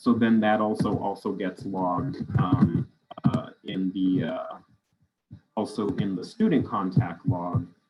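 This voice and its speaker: With music in the background, a man talks at a fairly slow pace in a fairly low pitch with ordinary pitch variation. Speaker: school district systems trainer. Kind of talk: virtual training presentation.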